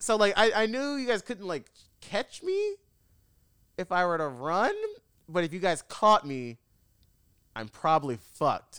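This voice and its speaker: A man speaks loudly and fairly slowly at a high pitch, with very wide pitch swings and long, frequent pauses. His tone is animated, bright and sharp, and the sound is dry and close with no echo. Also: very clean recording, silent background. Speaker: podcast host. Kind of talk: casual chat.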